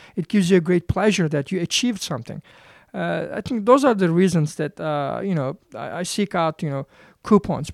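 A fairly quick speaker with a Turkish accent on a very clean recording against a silent background. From Turkey. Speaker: professor. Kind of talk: interview. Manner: halting, many fillers.

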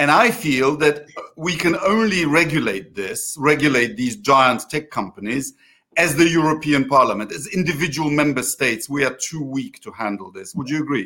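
This man talks at a moderate pace with a Polish accent, a fairly high pitch, a bright, sharp tone, lively intonation and big swings in loudness. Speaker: interviewer of an online political show. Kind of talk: political interview. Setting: video call.

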